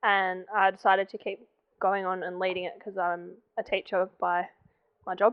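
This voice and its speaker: A woman talks with an Australian accent. Her pitch sits in the medium range. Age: 20s. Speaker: volunteer firefighter and junior coach. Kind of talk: documentary interview.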